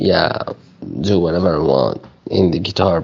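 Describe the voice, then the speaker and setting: A man with an Arabic accent speaks with ordinary pitch variation over noticeable background noise. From Syria. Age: young. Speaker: refugee. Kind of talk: casual chat. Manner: halting.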